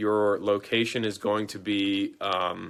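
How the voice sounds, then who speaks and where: A man's voice with a bright, sharp tone comes through in a very clean recording with a silent background. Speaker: real estate investing educator. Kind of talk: live stream Q&A. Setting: live video stream. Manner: fast.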